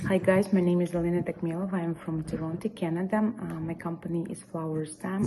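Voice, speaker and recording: A woman talks fairly quickly in a fairly low pitch. Her intonation is fairly even against noticeable background noise. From Ukraine. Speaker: florist, business owner. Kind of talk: recorded video presentation. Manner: halting, many fillers.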